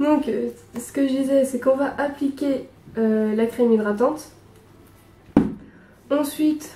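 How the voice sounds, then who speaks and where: A woman at a fairly slow pace, with fairly even intonation. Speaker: beauty vlogger. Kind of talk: makeup tutorial. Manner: hesitant, many fillers.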